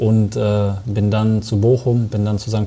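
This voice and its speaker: In an ordinary speaking voice, a man talks at a fairly low pitch with fairly even intonation. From Germany, Sauerland (Arnsberg). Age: 20s. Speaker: professional footballer. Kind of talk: interview.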